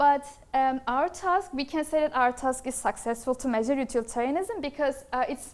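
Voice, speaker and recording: A woman's high voice at a fairly quick pace, with ordinary pitch variation. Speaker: master's student presenting research. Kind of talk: academic presentation. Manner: fast; hesitant, many fillers.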